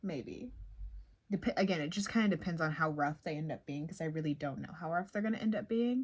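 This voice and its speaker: A woman speaks softly at a fairly quick pace with a fairly low pitch. Her voice is somewhat breathy, and her intonation is lively. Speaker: indie author vlogger. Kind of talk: casual vlog. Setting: at home. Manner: soft-spoken.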